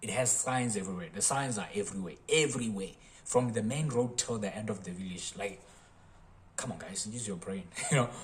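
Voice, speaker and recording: A man's somewhat breathy voice moves along at a fairly quick pace, his intonation lively. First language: not English. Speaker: engineering college alumnus. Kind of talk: casual talk to camera.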